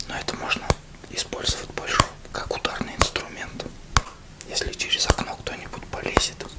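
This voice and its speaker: Whispered speech from a man at a moderate pace. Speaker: video blogger. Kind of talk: casual vlog chat. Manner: soft close ASMR-style speech. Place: home room. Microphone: webcam.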